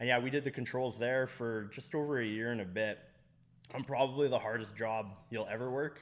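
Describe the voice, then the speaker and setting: With a Canadian accent, a man talks at a fairly quick pace in a plain, everyday voice of medium pitch. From Fort McMurray, Alberta, Canada. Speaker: cider business owner. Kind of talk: casual interview. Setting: on location at a cider business.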